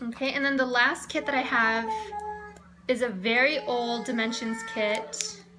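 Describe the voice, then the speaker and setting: The room echo is audible, and there is noticeable background noise. Through it, a woman talks fairly slowly. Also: fairly high pitch for a woman, ordinary pitch variation. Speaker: cross stitch vlogger. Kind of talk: casual show-and-tell vlog. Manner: halting, many fillers and repeats.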